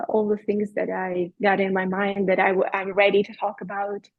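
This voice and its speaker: A woman of medium pitch speaks with a Russian accent. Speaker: podcast guest, bereaved mother, yoga teacher. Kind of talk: interview, personal testimony. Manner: halting, with fillers.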